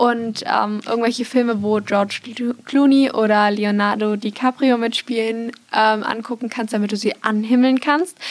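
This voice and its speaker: Against noticeable background noise, a woman talks in a fairly high pitch with fairly even intonation. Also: moderate pace. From Munich, Bavaria. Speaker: marketing student and trainee. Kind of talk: casual chat.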